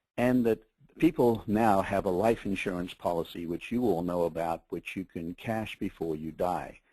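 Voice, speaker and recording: The tone is dark and mellow, with ordinary pitch variation at a moderate pace. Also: man, very deep, low pitch for a man. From Australia. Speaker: media executive. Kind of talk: webinar presentation. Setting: webinar call.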